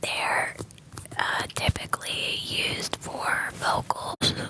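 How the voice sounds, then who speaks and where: Someone whispers at a very slow pace, with noticeable background noise behind them. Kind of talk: ASMR whisper ramble. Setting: studio, close sensitive mics. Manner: whispered.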